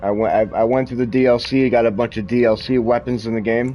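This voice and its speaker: Through noticeable background noise, a man speaks fairly quickly at a medium pitch in a flat monotone. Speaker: gaming streamer. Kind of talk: live gameplay commentary. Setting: live stream while gaming, wearing headphones. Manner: loud.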